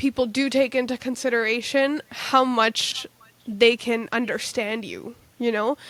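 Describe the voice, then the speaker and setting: With a Canadian accent, a woman speaks at a high pitch and a fairly slow pace with fairly even intonation, her sound dry and close with no echo against noticeable background noise. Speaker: podcast host. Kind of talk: interview conversation.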